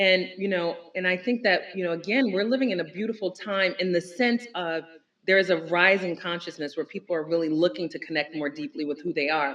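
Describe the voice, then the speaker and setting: With an American accent and lively intonation, a woman talks at a fairly quick pace in a normal speaking voice of medium pitch. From Newark, New Jersey. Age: middle-aged. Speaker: entrepreneur. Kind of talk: casual chat.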